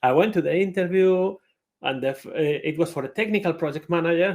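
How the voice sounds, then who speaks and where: A man talks at a fairly quick pace. He speaks with a Spanish accent. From Spain. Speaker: conference speaker, IT project manager. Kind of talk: conference talk.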